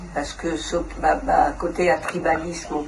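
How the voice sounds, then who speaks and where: A woman's fairly low voice, flat and monotone, at a very slow pace, with audible room echo and noticeable background noise. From Congo (DRC). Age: 70s. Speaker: interviewee at community event. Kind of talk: interview testimony. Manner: halting with hesitations.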